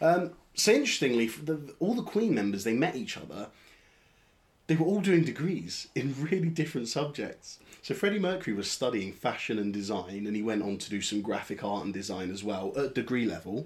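Speaking at a fairly quick pace with a London accent, this man has a medium pitch and very wide pitch swings, heard on a very clean recording with a silent background. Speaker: podcast host. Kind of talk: casual chat.

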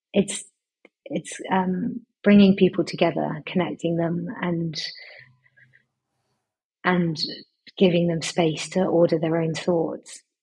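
A woman's fairly low, dark, mellow voice with a husky, rough edge, little pitch movement, a slow pace and long, frequent pauses

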